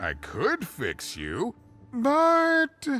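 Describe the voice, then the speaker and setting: The speaker uses a put-on character voice. Faint music sits in the background. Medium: video game. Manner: self-deprecating, laughing, rambling.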